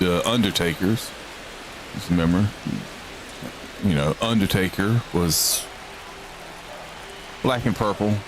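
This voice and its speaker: With a Southern US accent, a man speaks at a fairly slow pace, leaving long, frequent pauses. His pitch is fairly low with ordinary variation, over noticeable background noise. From Georgia, US South. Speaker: gaming streamer. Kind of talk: live game commentary. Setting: live stream. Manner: casual, conversational.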